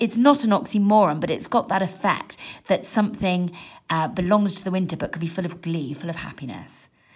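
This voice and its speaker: Against a quiet background, a woman with a fairly low, somewhat breathy voice speaks at a fairly quick pace. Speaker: english teacher. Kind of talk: tutorial. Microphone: phone near.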